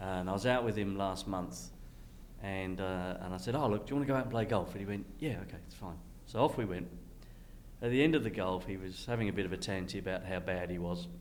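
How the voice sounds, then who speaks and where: Talking very fast with an Australian accent, a man uses a very deep, low pitch and lively intonation, and audible echo fills the room. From Western Australia (Perth). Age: 60s. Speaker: entrepreneur. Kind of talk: casual conversation.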